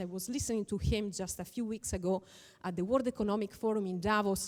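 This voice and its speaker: A woman speaks at medium pitch with an Italian accent. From northern Italy (Veneto). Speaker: lawyer and conference speaker. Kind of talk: conference talk.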